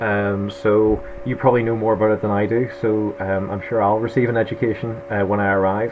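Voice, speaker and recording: Noticeable background noise sits behind this recording. A man with a strong Irish accent speaks at a medium pitch. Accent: thick Irish. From Northern Ireland, Belfast. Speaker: history lecturer. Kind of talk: lecture. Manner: hesitant, many fillers.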